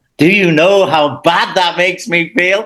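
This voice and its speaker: A man is speaking here. He has a Liverpool accent. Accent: Liverpool English (Scouse). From England, Liverpool. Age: 60s. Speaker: football commentator. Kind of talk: casual interview. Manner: halting, many restarts.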